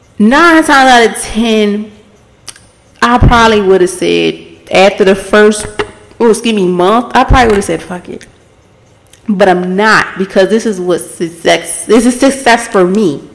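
Fairly slow delivery with ordinary pitch variation amid noticeable background noise. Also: woman, fairly high pitch for a woman. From Baltimore, US. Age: 20s. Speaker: podcast host. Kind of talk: casual solo monologue. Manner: laughs often.

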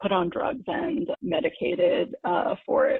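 With an American accent and an ordinary speaking voice, a woman talks at a fairly slow pace and a medium pitch. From US Northeast, New York City suburbs and Connecticut. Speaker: mental health interviewee. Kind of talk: interview testimony.

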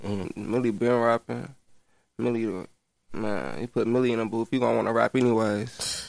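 A man talks fairly quickly at a medium pitch with fairly even intonation. His is an unremarkable speaking voice. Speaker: rapper. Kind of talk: casual interview.

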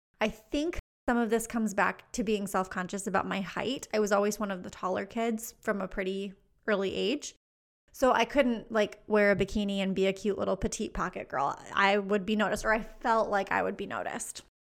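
This woman has an unremarkable speaking voice with medium pitch. She talks at a fairly quick pace with fairly even intonation. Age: 30s. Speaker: podcast host, business coach. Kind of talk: solo podcast monologue. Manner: casual, laughs often.

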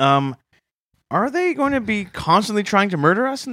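A raised, projected voice in a Canadian accent, bright and sharp in tone, with very wide pitch swings at a moderate pace. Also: man. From Canada. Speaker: comedy podcast co-host. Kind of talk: comedic podcast banter.

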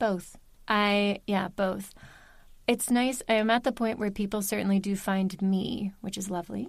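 In a very clean recording with a silent background, a woman with an American accent uses an ordinary speaking voice at medium pitch, fairly slow pace and fairly even intonation. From US Mid-Atlantic, Baltimore, Maryland. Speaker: audiobook narrator. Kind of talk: casual interview chat.

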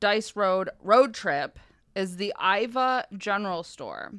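Silent background, very clean recording: a woman speaks at a medium pitch. Her tone is bright and sharp, with ordinary pitch variation. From northern Michigan. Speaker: podcast host. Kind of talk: casual chat; storytelling. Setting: studio.

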